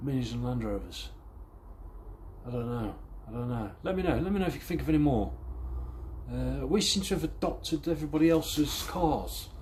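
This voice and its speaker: A man speaks at a fairly quick pace with long, frequent pauses, his voice carrying audible room echo. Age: 30s. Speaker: car restoration vlogger. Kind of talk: casual vlog chat. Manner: rambling, halting.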